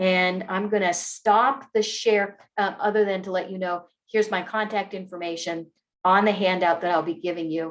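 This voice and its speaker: A woman with an unremarkable speaking voice, at medium pitch and a moderate pace, with fairly even intonation. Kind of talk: online training presentation. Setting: video call with screen share.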